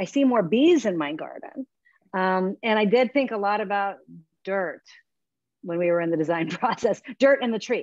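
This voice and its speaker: A woman with an American accent talks at a moderate pace and medium pitch, with lively intonation and long, frequent pauses. The sound is dry with no echo over a quiet background. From US Midwest, Nebraska. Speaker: theatre director; panelist. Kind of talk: casual chat. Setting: video call. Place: home room. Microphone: video call.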